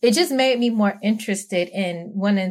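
A somewhat breathy woman speaks slowly-ish, at a fairly slow pace, in a New York accent. The recording is very clean, with a silent background. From Brooklyn, New York. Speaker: spouse of former Jehovah's Witness. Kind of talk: casual interview.

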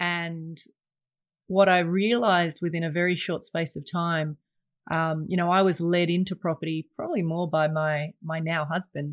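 Someone with an Australian accent speaks at a moderate pace in a monotone, flat intonation. The sound is dry and close, with no echo, against a quiet background. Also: woman, fairly low pitch for a woman. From England until age nine, then Australia. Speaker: investment advisor and podcast host. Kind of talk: solo podcast monologue. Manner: many fillers and repetitions.

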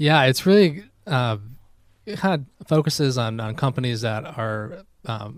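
The man has an American accent and a mid-level pitch, captured on a very clean recording against a silent background. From Albany, New York. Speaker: outdoor gear business owner. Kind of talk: interview. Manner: hesitant, many fillers.

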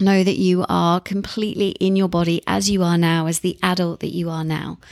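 A woman speaks in a warm, animated tone. Her pitch is medium and her pace moderate. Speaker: therapist and podcast host. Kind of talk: guided meditation. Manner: warm, encouraging, animated in intro.

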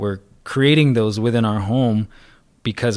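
A man with an ordinary speaking voice talks at a moderate pace and fairly low pitch. His intonation stays fairly even in a very clean recording with a silent background. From Arizona, Salt River area. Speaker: wellness advocate. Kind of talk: casual interview.

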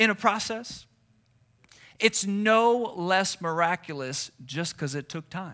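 On a very clean recording with a silent background, a man with a high voice and bright, sharp tone speaks very slowly in a raised, projected voice, with ordinary pitch variation and big swings in loudness. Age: 30s. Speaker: pastor. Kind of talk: sermon.

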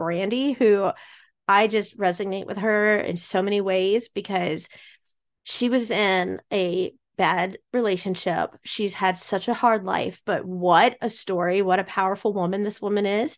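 A normal speaking voice from a medium-pitched woman, fairly slow and fairly even in intonation, against a quiet background. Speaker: podcast host. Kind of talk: casual chat.

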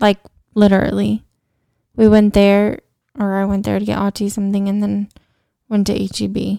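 A woman with an American accent and a dark, mellow tone, moderate pace, and a dry, close sound with no echo. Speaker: podcast co-host. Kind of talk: casual chat.

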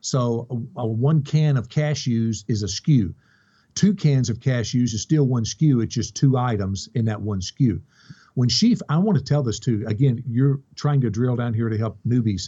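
Somewhat breathy, a man with a Kentucky accent speaks at a medium pitch and moderate pace with ordinary pitch variation. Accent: Kentucky Southern US. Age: 50s. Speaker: online reseller. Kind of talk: interview.

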